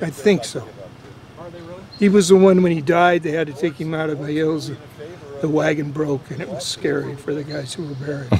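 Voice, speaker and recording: A man with an American accent speaks in a fairly high pitch and fairly even intonation. Long, frequent pauses mark his delivery, with noticeable background noise behind it. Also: moderate pace, big swings in loudness. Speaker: local old-timer from the area. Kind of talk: casual chat.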